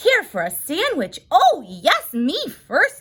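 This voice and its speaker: A woman puts on a character voice pitched extremely high. She speaks at a very slow pace. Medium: read story. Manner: eager, impatient.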